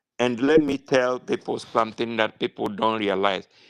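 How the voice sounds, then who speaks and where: Speaking with a Nigerian accent, a man uses an animated tone, a medium pitch and ordinary pitch variation at a moderate pace, in dry, close sound with no echo. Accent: Nigerian Igbo English. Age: 60s. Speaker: political activist. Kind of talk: impassioned political speech. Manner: halting, many fillers.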